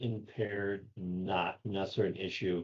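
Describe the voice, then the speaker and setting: The voice belongs to a man. It is booming. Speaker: safety consultant and trainer. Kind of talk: casual podcast chat.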